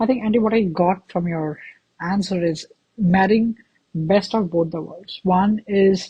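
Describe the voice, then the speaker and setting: Speaking at a fairly slow pace in an Indian accent, a woman uses a medium pitch, a dark, mellow, somewhat breathy tone and fairly even intonation. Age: 20s. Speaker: podcast host. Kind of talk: interview.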